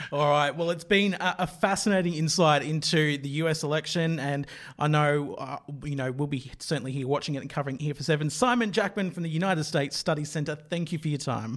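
Speaking very fast with an Australian accent, a man talks at a fairly high pitch with ordinary pitch variation, heard in a very clean recording against a silent background. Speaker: news podcast host. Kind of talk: interview; scripted narration.

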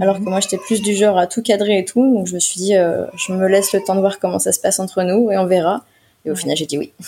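Very fast, a woman talks at a medium pitch in a dark, mellow tone with fairly even intonation. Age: 20s. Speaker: single mother sharing her story. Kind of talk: personal testimony interview. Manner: halting.

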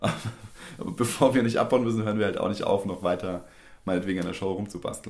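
A man with a fairly low-pitched voice talks at a very fast pace with fairly even intonation and long, frequent pauses. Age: 30s. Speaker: stage designer. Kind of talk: interview.

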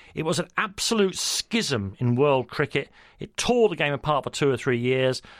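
A man with a London accent and a fairly high pitch speaks at a moderate pace with very wide pitch swings, in a very clean, dry, close recording with a silent background and no echo. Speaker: radio sports host. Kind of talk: interview.

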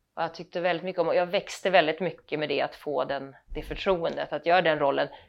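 A woman talks at a very fast pace. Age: middle-aged. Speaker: actress. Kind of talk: casual chat. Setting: at home.

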